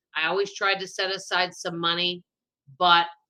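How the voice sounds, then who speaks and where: Her tone is bright and sharp, at a medium pitch for a woman. She keeps a moderate pace. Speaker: personal finance YouTuber. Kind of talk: interview.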